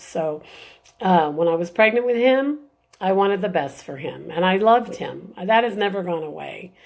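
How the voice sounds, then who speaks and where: At a moderate pace, a woman speaks in a plain, everyday voice, medium in pitch and with ordinary pitch variation. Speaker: birth mother and adoption advocate. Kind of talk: live video talk. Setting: live stream.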